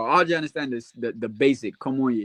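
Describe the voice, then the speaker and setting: A man talks at a fairly quick pace in a normal speaking voice, pitched in the medium range. The sound is dry and close with no echo, over a quiet background. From US, born in Haiti, moved at six. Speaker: basketball podcast panelist. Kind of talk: casual chat.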